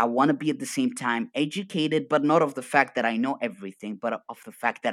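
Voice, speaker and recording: A fairly quick delivery with an Arabic accent. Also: man. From Arabic-speaking region. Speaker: coach. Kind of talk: casual chat. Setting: video call. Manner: energetic; animated.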